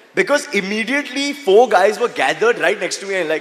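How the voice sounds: Quick-moving and lively in intonation, a man talks at a high pitch and fairly quick pace with a fairly bright tone.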